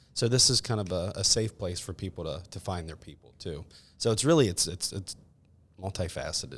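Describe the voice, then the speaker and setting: Speaking with an American accent, a man with a very deep, low pitch talks at a fairly quick pace, his somewhat breathy voice showing lively intonation and big swings in loudness on a very clean recording with a silent background. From West Virginia (Tucker County). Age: 40s. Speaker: yoga studio co-owner. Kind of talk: casual chat.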